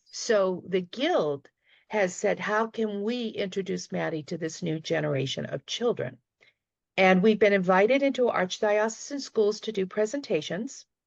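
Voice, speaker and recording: With a Boston accent, a woman speaks at a medium pitch and a moderate pace, her intonation lively over a quiet background. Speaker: retired teacher, panelist. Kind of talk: panel discussion remarks. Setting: video call.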